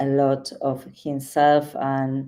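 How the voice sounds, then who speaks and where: This woman has a very deep, low pitch and a dark, mellow tone. She speaks with a Spanish accent. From Argentina. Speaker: podcast host. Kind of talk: interview. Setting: live stream video call. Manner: halting.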